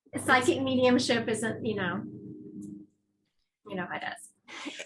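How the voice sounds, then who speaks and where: A woman with a fairly high pitch speaks at a fairly slow pace. Her intonation is lively, and audible room echo surrounds her. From Louisiana. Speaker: psychic medium. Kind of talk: interview.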